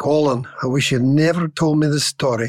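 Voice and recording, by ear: A man puts on a character voice in a Scottish accent, raspy and fairly high in pitch. He talks at a moderate pace.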